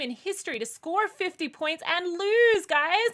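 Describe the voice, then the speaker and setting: A woman with an Australian accent, her pitch extremely high, her tone bright and sharp, her intonation lively and her voice raised and projected. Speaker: sports show host. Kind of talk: casual chat.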